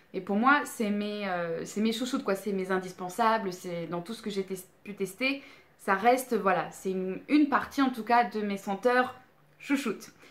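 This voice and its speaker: At a fairly slow pace, a woman speaks with ordinary pitch variation and big swings in loudness. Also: medium pitch for a woman. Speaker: beauty and candle youtuber. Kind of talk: product review vlog. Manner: hesitant, many fillers.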